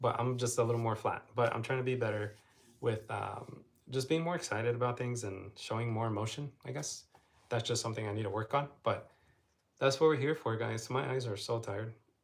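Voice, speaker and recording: His voice is somewhat breathy and sits at medium pitch for a man. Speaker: travel vlogger. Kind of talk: casual live stream chat. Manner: flat, low energy.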